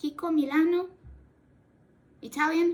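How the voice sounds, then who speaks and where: Speaking very slowly, a woman talks in a Portuguese accent. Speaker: cosplay YouTuber. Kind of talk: casual chat while doing makeup tutorial. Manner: halting, self-correcting; talkative.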